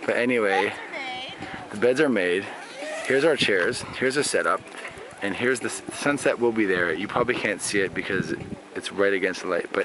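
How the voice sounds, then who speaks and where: Here a man talks at a fairly quick pace. The sound is dry with no echo, and there is noticeable background noise. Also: ordinary pitch variation. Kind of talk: casual vlog tour narration. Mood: cheerful, joking. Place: open country. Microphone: phone near.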